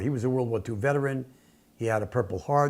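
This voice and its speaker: An ordinary speaking voice from a man, fairly quick in pace, with ordinary pitch variation. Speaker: filmmaker. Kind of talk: casual talk to camera.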